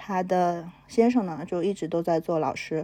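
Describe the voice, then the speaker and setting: At a moderate pace, a woman speaks in a medium pitch with a dark, mellow tone and ordinary pitch variation. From Henan, China. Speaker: entrepreneur. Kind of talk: personal testimony.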